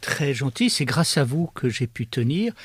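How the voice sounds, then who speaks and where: The man sounds somewhat breathy. He speaks at a moderate pace, recorded dry and close with no echo. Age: 70s. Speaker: philosopher. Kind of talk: interview. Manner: hesitant, many fillers.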